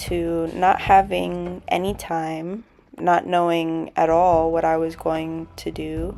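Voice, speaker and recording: Music plays in the background while a woman talks. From Southern Africa. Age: 20s. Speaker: recent university graduate. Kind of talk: personal vlog narration to camera.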